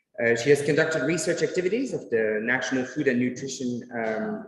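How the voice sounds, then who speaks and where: The speech runs at a very fast pace. Its intonation is lively. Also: man. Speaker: conference moderator. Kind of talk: speaker introduction.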